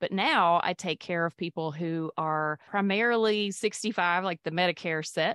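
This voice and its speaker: A woman talks with a Mississippi accent at a fairly low pitch, her intonation fairly even. The sound is dry and close, with no echo. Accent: Southern US (Mississippi). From Mississippi, US South. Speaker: physician and podcaster. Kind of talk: interview conversation.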